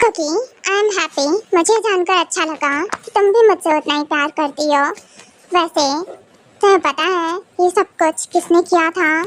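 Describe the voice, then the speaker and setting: A woman performs a put-on character voice at an extremely high pitch and a moderate pace, with long, frequent pauses, in a dry, close sound with no echo. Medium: fan dub. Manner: warm, playful.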